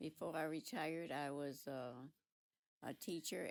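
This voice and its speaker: Keeping a moderate pace, a woman talks with fairly even intonation. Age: 80s+. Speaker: retired teacher and counselor. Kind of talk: casual chat.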